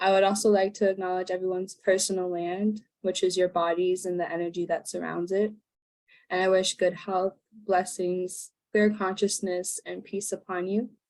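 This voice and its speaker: A woman in a Canadian accent, medium-pitched and monotone, at a moderate pace. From Labrador, Canada (Inuk, Nunatsiavut). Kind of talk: prepared talk at online event. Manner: halting.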